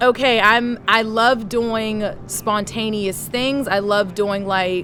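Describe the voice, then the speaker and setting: Against noticeable background noise, a woman with a fairly high pitch speaks at a very slow pace with fairly even intonation. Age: 30s. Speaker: interview guest. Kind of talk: casual interview. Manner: loud.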